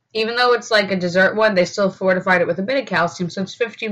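A woman speaks very fast in a somewhat breathy voice, her intonation fairly even. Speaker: vlogger. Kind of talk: casual vlog chat. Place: home room. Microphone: webcam.

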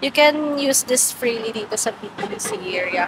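A woman speaks at a very slow pace with ordinary pitch variation. The sound is dry with no echo, but noticeable background noise is present. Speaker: vlogger. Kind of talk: casual vlog chat. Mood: cheerful, laughing. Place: street. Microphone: phone near.

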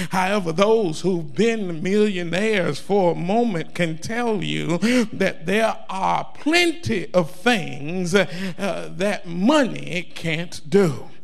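A man talks at a very slow pace with hardly any pauses. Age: 50s. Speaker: guest preacher. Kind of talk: sermon. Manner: animated. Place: church. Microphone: handheld.

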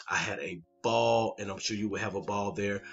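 A man with a plain, everyday voice, fairly low in pitch, at a fairly quick pace over light background noise. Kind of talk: casual vlog chat. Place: home room.

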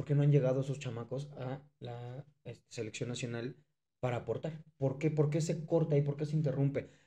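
Over a quiet background, a man with a fairly high pitch speaks at a moderate pace in a dark, mellow, somewhat breathy tone, keeping his intonation fairly even. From Mexico. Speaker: sports podcast co-host. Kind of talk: casual chat. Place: studio. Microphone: studio mic.

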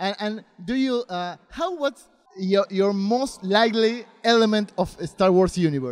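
A man speaks with a Spanish accent in a high voice. His intonation is lively. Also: fairly slow pace, quiet background. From Argentina. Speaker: interviewer. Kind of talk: interview. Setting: comic convention. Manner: halting. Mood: friendly, eager. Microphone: handheld.

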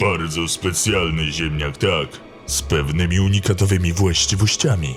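Over clear background music, a man uses a put-on character voice pitched very deep and low. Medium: fan dub. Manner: cold, commanding.

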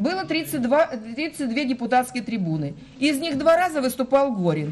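Her voice high-pitched with a slightly mellow tone, a woman speaks at a moderate pace with lively intonation over faint background noise.

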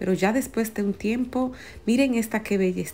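With ordinary pitch variation, the delivery proceeds at a moderate speed. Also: woman. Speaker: plant vlogger. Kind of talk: casual vlog commentary. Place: shop. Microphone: phone near.

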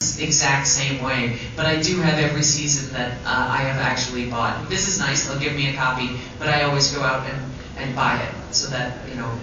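A woman speaks at a fairly quick pace in a very deep, low pitch, her intonation fairly even. Strong room echo and noticeable background noise surround her. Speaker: guest. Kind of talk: panel Q&A answer. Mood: relaxed, chatty, humorous. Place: hall.

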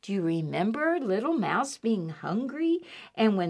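Someone reads aloud in an unforced voice.

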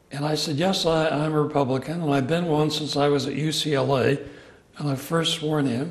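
A man speaks at a fairly high pitch and a moderate pace, with fairly even intonation. Room echo is audible.

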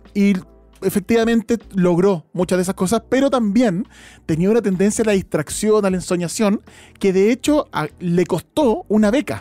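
In a Chilean accent, a dark, mellow voice speaks at a moderate pace with ordinary pitch variation and very even loudness, the sound dry and close with no echo. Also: man, high pitch for a man. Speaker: podcast host. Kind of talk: casual chat.

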